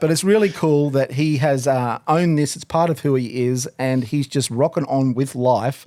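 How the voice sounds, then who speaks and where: In an Australian accent, a man speaks at a moderate pace with hardly any pauses, his voice fairly high in pitch yet dark and mellow in tone. The recording is very clean, with a silent background. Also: ordinary pitch variation. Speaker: barbecue podcast co-host. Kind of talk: casual chat. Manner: mumbles words, mispronounces.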